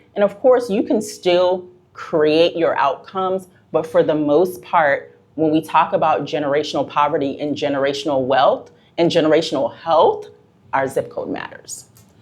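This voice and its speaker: A woman's normal speaking voice with an American accent, fairly low in pitch, with ordinary pitch variation and a moderate pace. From US Northeast. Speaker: public health expert. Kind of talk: casual interview.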